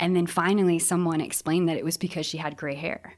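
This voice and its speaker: Speaking very fast with fairly even intonation, a woman with a fairly low voice talks in an Upper Midwest accent. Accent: Upper Midwest American. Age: 40s. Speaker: guest, bakery worker. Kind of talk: casual chat.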